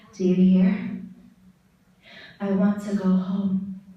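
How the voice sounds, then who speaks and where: A woman speaking very slowly over noticeable background noise. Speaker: spoken word poet. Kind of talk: poetry performance. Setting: live conference stage.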